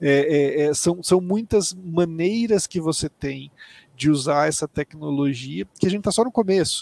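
A man with an ordinary speaking voice talks at a fairly slow pace and fairly high pitch, with ordinary pitch variation and a dry, close sound with no echo. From Mato Grosso do Sul, Brazil. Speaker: tech company executive. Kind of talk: interview.

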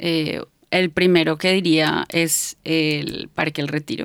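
A woman speaks in a Bogotá accent. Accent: Bogotá Colombian Spanish. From Colombia, Bogotá. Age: 30s. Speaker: psychologist and therapist. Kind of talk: casual interview chat. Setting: studio.

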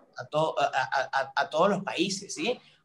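A man talks at a fairly slow pace. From Venezuela, San Cristóbal, Táchira (Andes). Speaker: social media content creator. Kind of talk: casual interview chat. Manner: halting, many repetitions and fillers.

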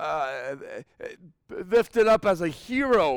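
An animated male voice on a very clean recording with a silent background. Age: 30s. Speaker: Bible teacher. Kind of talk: Bible study teaching. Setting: church. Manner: halting.

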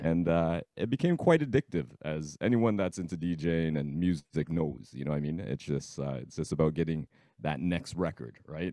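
A man with a Toronto accent speaks in a very deep, low pitch with a dark, mellow tone and ordinary pitch variation. He leaves hardly any pauses, and the sound is dry and close with no echo. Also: moderate pace. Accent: Toronto Canadian English. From Scarborough, Toronto, Canada. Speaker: DJ. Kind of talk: casual interview.

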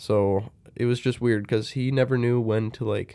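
Ordinary pitch variation runs through a voice with a dark, mellow tone. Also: man. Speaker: podcast co-host. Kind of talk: casual chat. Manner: jokey, laughs often.

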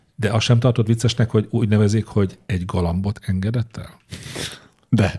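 A man speaks with a plain, everyday voice at a fairly quick pace. His pitch is fairly low and his intonation fairly even. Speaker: podcast co-host. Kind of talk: casual chat.

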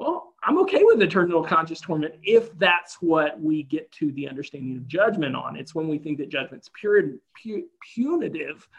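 A man with an American accent talks at a moderate pace in a plain, everyday voice, with ordinary pitch variation and big swings in loudness. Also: fairly high pitch for a man. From US South. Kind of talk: casual chat.

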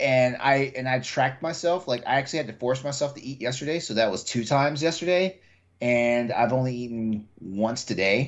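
An unremarkable speaking voice with an American accent moves at a fairly quick pace. Its pitch varies in an ordinary way. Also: man, medium pitch for a man. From Texas. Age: 40s. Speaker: podcast host. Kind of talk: casual chat.

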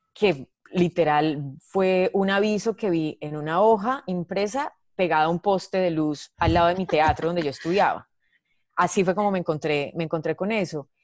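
A woman with a normal speaking voice and a fairly low pitch talks at a moderate pace with ordinary pitch variation, in a dry, close sound with no echo. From Colombia, Medellín. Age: 30s. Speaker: comedian. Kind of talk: casual chat.

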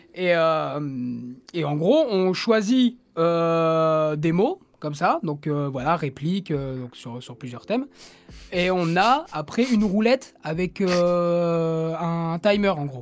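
Intonation is lively while the pace stays very slow. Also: man. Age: 20s. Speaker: podcast co-host and musician. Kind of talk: casual chat. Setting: online voice call.

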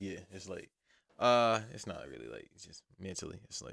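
The man talks at a moderate pace. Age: 30s. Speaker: podcast host. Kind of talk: casual monologue. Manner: rambling, loose delivery.

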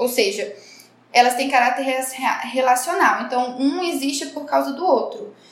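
A high-pitched woman at a moderate pace, with audible room echo. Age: 30s. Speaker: podcast co-host, journalist. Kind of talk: casual chat.

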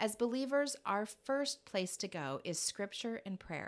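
In a very clean recording with a silent background, a woman with an ordinary speaking voice talks at a moderate pace with lively intonation. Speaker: podcast host. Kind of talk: casual interview chat; scripted intro and outro.

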